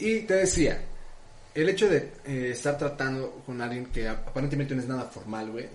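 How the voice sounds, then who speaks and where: With lively intonation and a medium pitch, a man talks at a moderate pace amid audible room echo. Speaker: podcast co-host. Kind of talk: casual chat.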